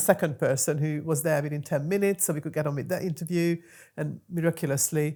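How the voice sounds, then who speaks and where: A woman with a very deep, low pitch and a dark, mellow tone talks at a very fast pace. Her intonation is fairly even, and the recording is very clean with a silent background. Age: 50s. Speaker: podcast host and entrepreneur. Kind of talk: casual conversation.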